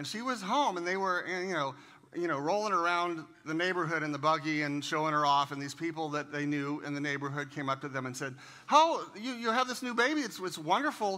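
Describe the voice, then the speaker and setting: The man's voice has a bright, sharp tone. He speaks at a fairly quick pace. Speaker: guest. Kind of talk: sermon. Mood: warm, joking. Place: church. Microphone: headset.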